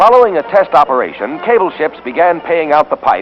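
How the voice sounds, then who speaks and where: Music plays behind a man speaking. His pace is moderate, with ordinary pitch variation. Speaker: newsreel narrator. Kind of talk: 1940s newsreel narration. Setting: vintage archival recording. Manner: brisk, authoritative.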